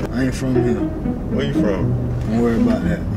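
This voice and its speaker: Loud background noise fills the recording. A man is speaking through it. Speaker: vlogger. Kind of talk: casual banter among friends, comedic prank persona. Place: car. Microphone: phone near.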